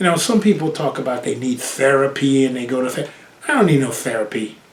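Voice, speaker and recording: A man speaks with an American accent and lively intonation. Noticeable background noise runs behind him. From Brooklyn, New York. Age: 60s. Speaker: podcaster and broadcast cameraman. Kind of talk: personal monologue. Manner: animated.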